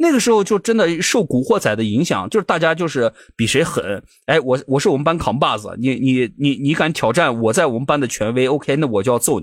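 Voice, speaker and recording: A man speaks at a fairly quick pace in a fairly high voice with very wide pitch swings. The recording is very clean, with a silent background. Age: 30s. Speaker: podcast co-host. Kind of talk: casual chat.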